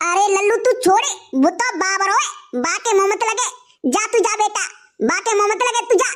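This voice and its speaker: A woman does a cartoonish character voice at an extremely high pitch, with ordinary pitch variation. Her loudness stays very even, and her pace is moderate. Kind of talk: rustic cartoon comedy. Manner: homely, motherly.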